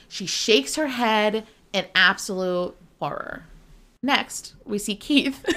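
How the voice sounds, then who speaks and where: A woman's fairly high voice at a fairly slow pace, bright and sharp in tone, with very wide pitch swings. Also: very clean recording, silent background. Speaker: podcast co-host. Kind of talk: casual chat. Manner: animated.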